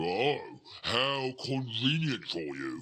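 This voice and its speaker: A man performs a put-on character voice. It sits at a medium pitch. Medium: video game. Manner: slow, ungrammatical, blunt.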